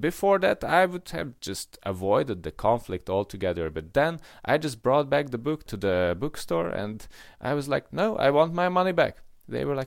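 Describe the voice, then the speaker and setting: A man speaks at a moderate pace with a Hungarian accent, his fairly high pitch swinging very widely, on a very clean recording with a silent background. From Hungary. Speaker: podcast co-host. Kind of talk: casual chat. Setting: call. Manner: halting, with many fillers.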